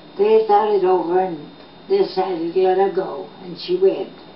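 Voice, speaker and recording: Fairly slow speech with an American accent and fairly even intonation, audible room echo, and noticeable background noise. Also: woman. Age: 80s+. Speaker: local storyteller, reporter and teacher. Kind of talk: oral history storytelling. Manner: halting with fillers.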